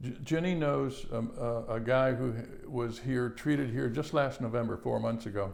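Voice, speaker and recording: There is audible room echo as a man speaks at a fairly slow pace with ordinary pitch variation. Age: 70s. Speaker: cancer patient. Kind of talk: testimony. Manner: halting.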